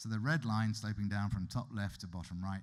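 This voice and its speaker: On a very clean recording with a silent background, a man with a British accent speaks at a moderate pace and a fairly low pitch. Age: 50s. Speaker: economist. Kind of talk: lecture. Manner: conversational.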